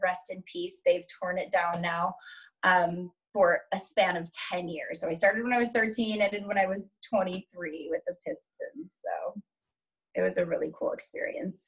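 Over a quiet background, a woman with an American accent talks at a moderate pace. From Metro-Detroit, Michigan. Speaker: dancer and showgirl. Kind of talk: interview answer. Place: home room. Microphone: webcam.

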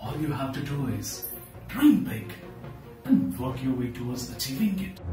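With audible room echo and clear music in the background, a man talks at a moderate pace with lively intonation. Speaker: entrepreneur and parenting coach. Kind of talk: motivational speech. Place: home room.

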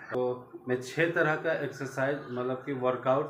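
Speech moves at a very slow pace with fairly even intonation, audible room echo and light background noise. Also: man. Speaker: home vlogger. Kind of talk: casual vlog chat. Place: home room. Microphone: phone near.

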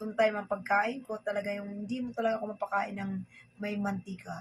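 This woman's somewhat breathy, medium-pitched voice holds a flat monotone at a moderate pace. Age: 50s. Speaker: vlogger. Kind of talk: casual vlog talk while eating. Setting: at home, filming herself at dinner.

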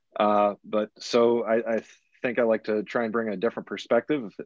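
The sound is dry with no echo, and the background is quiet. A man speaks at a moderate pace. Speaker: college athletics communications administrator. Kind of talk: panel discussion. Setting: video call. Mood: reflective, friendly. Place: office. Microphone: video call.

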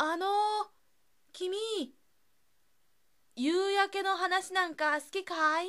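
A raised, projected voice with a bright, sharp tone moves at a very slow pace, its intonation fairly even and its long pauses frequent. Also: woman, extremely high pitch for a woman. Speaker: narrator. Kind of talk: read story. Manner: fresh, inexperienced.

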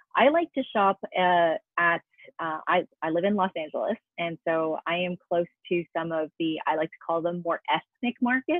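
Using a plain, everyday voice, a woman with an American accent speaks at a moderate pace and a fairly low pitch, with ordinary pitch variation. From US, New York. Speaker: cooking show host and actress. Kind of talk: interview podcast.

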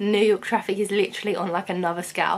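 A woman speaks with a British accent. Her pace is very fast. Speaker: vlogger. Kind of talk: casual vlog monologue. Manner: chatty, casual.

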